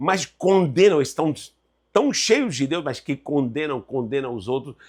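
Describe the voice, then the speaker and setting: In a very clean recording against a silent background, a man speaks in an animated tone. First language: Spanish (speaking Portuguese). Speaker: Bible teacher. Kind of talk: lecture.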